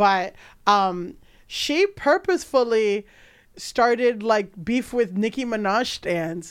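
In a very clean recording with a silent background, a woman speaks with an American accent at a very slow pace. Her pitch is fairly high and her intonation lively. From New York, Dominican heritage. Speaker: comedian and podcast host. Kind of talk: casual comedic chat.

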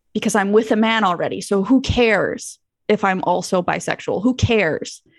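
A woman's medium-pitched voice with vocal fry, fairly even intonation and a moderate pace, over a quiet background. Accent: Canadian. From Manitoba, Canada. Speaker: YouTuber and content creator. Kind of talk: casual interview chat. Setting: video call.

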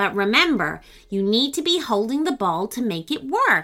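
A woman's fairly high, put-on character voice has a bright, sharp tone and big pitch swings, with faint music in the background. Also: moderate pace.

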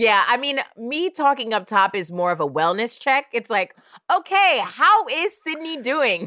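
A woman's raised, projected voice with an American accent, high in pitch and bright and sharp in tone, with very wide pitch swings. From Oakland, California. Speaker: podcast host. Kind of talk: casual chat.

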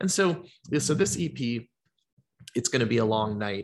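A man's medium-pitched voice at a fairly slow pace, lively in intonation, over a quiet background. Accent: American. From US South, Georgia (Atlanta). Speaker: singer-songwriter. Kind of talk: casual chat.

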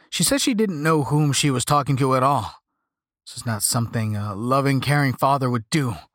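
A man's normal speaking voice, medium in pitch, at a moderate pace, on a very clean recording with a silent background. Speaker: audiobook narrator. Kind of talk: scripted horror story narration.

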